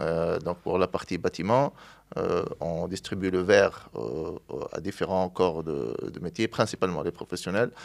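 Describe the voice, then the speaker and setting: Against a quiet background, the voice moves at a fairly slow pace with ordinary pitch variation. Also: man, very deep, low pitch for a man. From Tunisia (Sfax); Tunisia. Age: 30s. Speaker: glass products distributor, entrepreneur; interview guest. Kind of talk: interview. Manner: halting, many hesitations. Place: studio. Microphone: studio mic.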